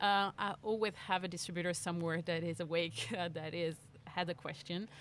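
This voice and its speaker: With a French accent, a woman speaks at a fairly quick pace in a fairly low pitch. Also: fairly even intonation. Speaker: bike industry marketing manager. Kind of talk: interview. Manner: hesitant, many fillers.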